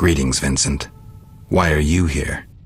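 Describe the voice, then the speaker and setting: Over background music, a growling put-on character voice speaks at a fairly slow pace. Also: man, very deep, low pitch for a man. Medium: video game. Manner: laconic, deadpan.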